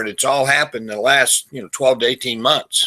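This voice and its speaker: A man at medium pitch, very fast, with a bright, sharp tone and ordinary pitch variation. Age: 60s. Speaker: marketing webinar presenter. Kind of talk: webinar presentation. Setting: online webinar.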